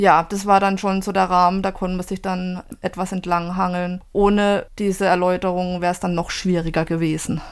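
Speaking at a moderate pace with hardly any pauses, a woman keeps her medium-pitched voice monotone and flat. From southwestern Germany. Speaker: book blogger. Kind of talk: interview. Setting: remote recording.

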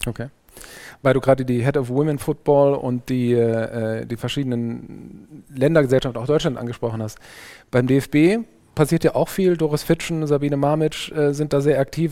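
Over a silent background in a very clean recording, a man with a fairly high pitch and a dark, mellow tone speaks at a moderate pace with fairly even intonation. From Saarland, Germany (Saarbrücken). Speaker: podcast host. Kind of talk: interview.

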